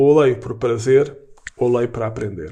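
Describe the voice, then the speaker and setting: Here a man speaks in a Lisbon accent. His tone is dark and mellow. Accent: European Portuguese, Lisbon. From Portugal, Lisbon. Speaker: writer and university professor. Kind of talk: casual interview conversation. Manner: halting, with frequent repetitions.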